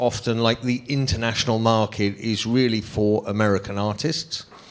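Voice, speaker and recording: A man's medium-pitched voice in a London accent, with ordinary pitch variation. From London, England. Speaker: music manager. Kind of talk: panel discussion.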